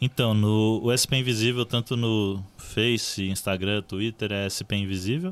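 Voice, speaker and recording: A man has a normal speaking voice with a fairly low pitch. He goes at a fairly slow pace with hardly any pauses and ordinary pitch variation. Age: 20s. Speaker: journalist and social project co-founder. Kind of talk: casual chat.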